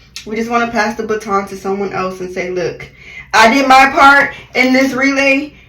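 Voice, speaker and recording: Loud and animated, a woman speaks at a moderate pace in a high voice with ordinary pitch variation, over noticeable background noise. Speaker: beauty vlogger. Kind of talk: voiceover monologue.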